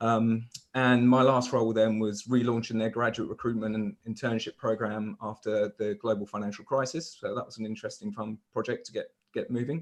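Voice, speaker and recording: With a southern English accent, a man talks at a very fast pace, at medium pitch and with fairly even intonation. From southern England, Hampshire. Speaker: recruitment leader. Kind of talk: casual interview. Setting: video call.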